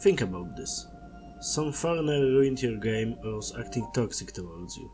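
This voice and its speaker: Music plays in the background. The speaker talks at a moderate pace in a Polish accent. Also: man. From Poland. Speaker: gaming video creator. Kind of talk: scripted commentary.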